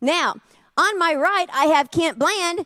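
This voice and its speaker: A woman's animated tone at a moderate pace, with a dry, close sound with no echo. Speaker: charity auctioneer. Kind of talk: live auction calling.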